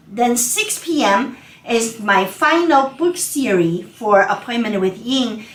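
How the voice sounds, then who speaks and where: With a non-native accent, a woman of fairly high pitch speaks very slowly with very wide pitch swings, amid audible room echo and noticeable background noise. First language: not English. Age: 50s. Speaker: accountant. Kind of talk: webinar presentation. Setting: online webinar. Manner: casual, conversational.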